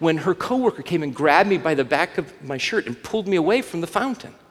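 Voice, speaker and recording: With an American accent, a man is speaking. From US South, Alabama. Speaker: pastor. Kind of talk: sermon.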